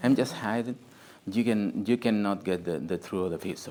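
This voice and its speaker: Speaking with a Spanish accent, a man uses ordinary pitch variation. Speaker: historian and author. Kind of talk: book presentation talk. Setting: group meeting with audience. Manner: halting, searching for words.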